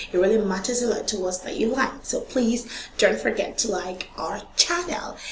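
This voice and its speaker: A woman with a high pitch is heard with audible room echo. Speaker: online tutor. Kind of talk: tutorial. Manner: repetitive, chatty.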